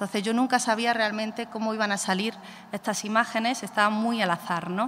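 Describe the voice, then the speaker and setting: A woman in an Andalusian accent, fairly high in pitch, at a moderate pace. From Andalusia, Spain (Málaga, Costa del Sol). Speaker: photographer and artist. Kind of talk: talk presenting own artwork to audience. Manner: hesitant, many fillers.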